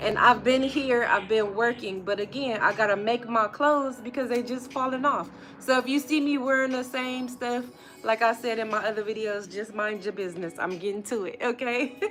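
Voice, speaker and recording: A woman with a high pitch talks at a moderate pace with ordinary pitch variation, and there is noticeable background noise. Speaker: vlogger. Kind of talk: casual live stream chat. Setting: workshop.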